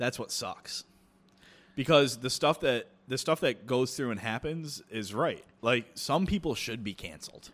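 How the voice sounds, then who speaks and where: In an ordinary speaking voice, a man talks at a fairly slow pace with a medium pitch and lively intonation, recorded very cleanly against a silent background. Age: 20s. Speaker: chef. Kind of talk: casual chat.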